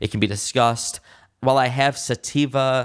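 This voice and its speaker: In a normal speaking voice, a man with an American accent talks at a moderate pace with fairly even intonation. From Michigan (West Bloomfield, Detroit area). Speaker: cannabis entrepreneur. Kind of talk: interview.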